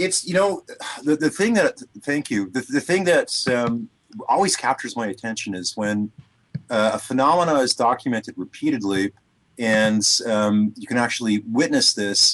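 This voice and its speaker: A man with a Canadian accent speaks at a moderate pace and a medium pitch. His intonation is lively, and the sound is dry and close with no echo. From Canada. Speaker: sound frequency therapy producer. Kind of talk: radio interview. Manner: hesitant, many fillers.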